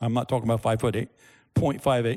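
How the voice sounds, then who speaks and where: Speaking at a moderate pace, a man is heard on a very clean recording with a silent background. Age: 60s. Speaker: pastor. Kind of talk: sermon. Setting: church with audience.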